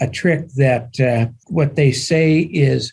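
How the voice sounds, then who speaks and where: Very slow and somewhat breathy, a man speaks in a dark, mellow tone at a fairly high pitch with ordinary pitch variation. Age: 70s. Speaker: securities attorney advising syndicators. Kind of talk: podcast interview.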